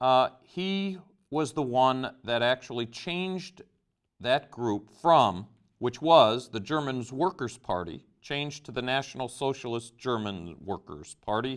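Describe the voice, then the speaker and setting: A man with an unremarkable speaking voice talks at a fairly slow pace. His pitch is medium, and his intonation is lively. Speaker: teacher. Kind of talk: lecture.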